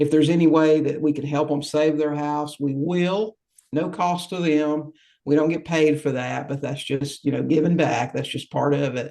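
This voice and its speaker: At a moderate pace, a man with a fairly high pitch speaks in a monotone, flat way with a dark, mellow tone. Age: 60s. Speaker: real estate investor. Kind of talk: interview. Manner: halting.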